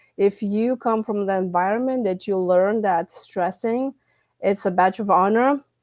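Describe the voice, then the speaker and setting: With a Lithuanian accent, a woman speaks at a moderate pace and fairly even intonation. The background is quiet. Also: medium pitch for a woman. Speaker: stress management coach and author. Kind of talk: podcast interview. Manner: halting, with fillers.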